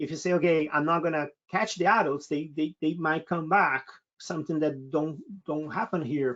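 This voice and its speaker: A man with a Brazilian accent speaks at a moderate pace in a high pitch. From Brazil, state of Sao Paulo. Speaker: naturalist expedition leader. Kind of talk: webinar Q&A. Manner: hesitant, many fillers and repetitions.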